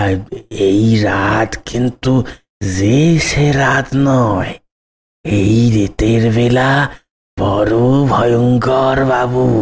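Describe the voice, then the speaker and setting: A man's cartoonish character voice at a very slow pace. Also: medium pitch for a man. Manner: deferential, folksy.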